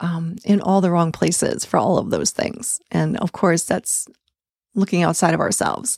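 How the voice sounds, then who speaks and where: In a very clean recording with a silent background, a woman speaks with fairly even intonation. Her sound is dry and close with no echo, and she has a plain, everyday voice. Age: 60s. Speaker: tantra coach and podcast host. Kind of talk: solo podcast monologue.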